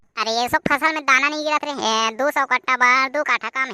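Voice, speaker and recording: A woman speaks in a cartoonish character voice. It is high in pitch and very fast. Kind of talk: comic cartoon voicing.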